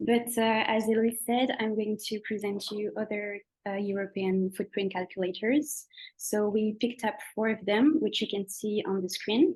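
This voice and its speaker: Against a quiet background, a woman with a fairly high, somewhat breathy voice speaks at a moderate pace with ordinary pitch variation. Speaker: sustainability consultant presenting tools. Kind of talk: online presentation. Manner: hesitant, many fillers.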